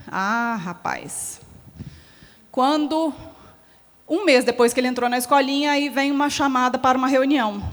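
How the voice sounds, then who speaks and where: In a Minas Gerais accent, a woman with a high pitch speaks animatedly at a fairly slow pace, using ordinary pitch variation and long, frequent pauses. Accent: mineiro (Minas Gerais) Brazilian Portuguese. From Minas Gerais, Brazil. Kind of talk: closing talk at a symposium. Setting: stage with audience. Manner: animated, conversational.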